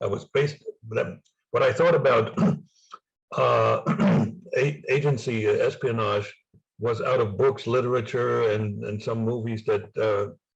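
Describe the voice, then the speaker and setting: A man with a slight German accent, talking at a moderate pace. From East Germany. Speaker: former spy and author. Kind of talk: interview. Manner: halting.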